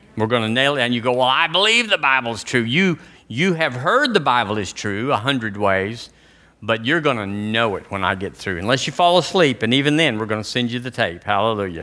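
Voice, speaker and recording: With an Alabama accent, a man talks at a medium pitch and a fairly quick pace. His tone is bright and sharp, his intonation lively. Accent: Southern US (Alabama). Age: 60s. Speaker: pastor. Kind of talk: sermon. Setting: church.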